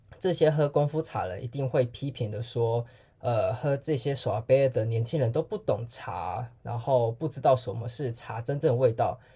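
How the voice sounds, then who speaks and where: This very clean recording, with a silent background, carries speech at a moderate pace with hardly any pauses. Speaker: podcast host. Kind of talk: casual solo podcast monologue.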